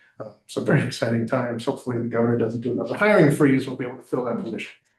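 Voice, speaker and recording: A man speaks in a somewhat breathy voice. His pitch moves in an ordinary way. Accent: American. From New York. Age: 60s. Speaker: state government regional manager and trainer. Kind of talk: training presentation. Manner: casual.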